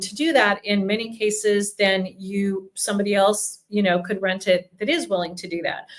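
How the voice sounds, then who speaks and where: This woman's voice sits at a medium pitch. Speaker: relocation company CEO. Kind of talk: live Q&A. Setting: office, livestream. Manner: fast.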